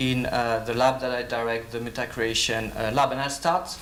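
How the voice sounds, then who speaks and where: A man with a French accent, medium pitch and fairly even intonation, amid audible room echo and noticeable background noise. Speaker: professor and lab director. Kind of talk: conference talk. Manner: hesitant, many fillers.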